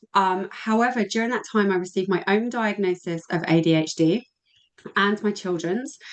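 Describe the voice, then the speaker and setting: Ordinary pitch variation in a woman's voice of medium pitch. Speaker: women's health practitioner. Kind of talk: webinar presentation. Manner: fast.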